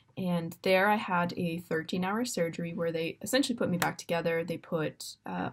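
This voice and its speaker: A woman with a Canadian accent has a normal speaking voice, fairly low in pitch with ordinary pitch variation, at a moderate pace. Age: 20s. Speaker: university student and para dressage rider. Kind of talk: personal introduction video. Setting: dorm room. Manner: casual, with many fillers.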